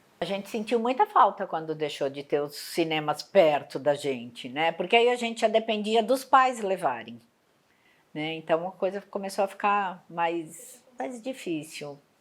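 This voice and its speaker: Speaking at a fairly slow pace, a woman with a medium pitch makes very wide pitch swings on a very clean recording against a silent background. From Brazil, São Paulo (Mooca). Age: 60s. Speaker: interviewee. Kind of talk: interview testimony.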